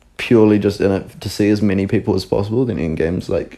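This man talks at a fairly quick pace with a New Zealand accent. His fairly low voice has a dark, mellow tone. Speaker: podcast co-host. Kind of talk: casual chat.

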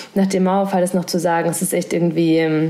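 Noticeable background noise runs under the voice. The intonation is monotone and flat. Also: woman. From Thuringia, eastern Germany. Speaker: podcast host. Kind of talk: casual interview. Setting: at home, remote recording.

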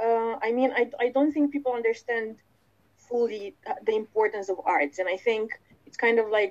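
An unremarkable speaking voice from a woman, fairly high in pitch, at a moderate pace. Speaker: actor. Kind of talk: interview and quiz game.

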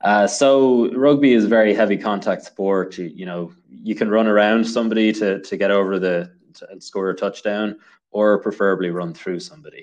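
Over a quiet background, a man with a Dublin accent speaks at a moderate pace in a fairly low pitch, with ordinary pitch variation and big swings in loudness. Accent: Dublin Irish. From Ireland, Dublin. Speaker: engineer and amateur runner. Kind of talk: casual interview.

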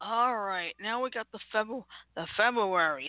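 This is a woman's voice at medium pitch. She talks at a fairly slow pace. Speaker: podcast host. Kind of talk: casual chat.

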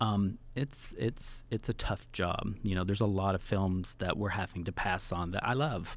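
In a very clean recording with a silent background, a man with an ordinary speaking voice talks at a moderate pace with hardly any pauses, using a fairly low pitch and ordinary pitch variation. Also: very even loudness. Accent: American. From Oklahoma. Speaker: film festival founder. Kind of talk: casual interview. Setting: studio.

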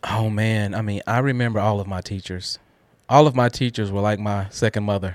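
A man with a plain, everyday voice talks at a fairly quick pace and fairly low pitch in a very clean recording with a silent background. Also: fairly even intonation. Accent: American. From Guthrie, Oklahoma, US. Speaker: manufacturing systems professional. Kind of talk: casual interview.

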